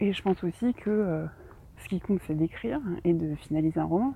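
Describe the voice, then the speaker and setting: A woman talks at a medium pitch. Her pace is very fast. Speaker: novelist and podcaster. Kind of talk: casual solo monologue. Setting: outdoors, walking. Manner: hesitant, many fillers.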